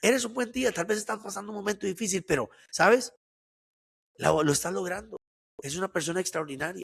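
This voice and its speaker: A man with a high-pitched voice talks at a fairly quick pace, with long, frequent pauses, in a dry, close sound with no echo. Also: ordinary pitch variation. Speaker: entrepreneur and motivational speaker. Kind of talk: interview.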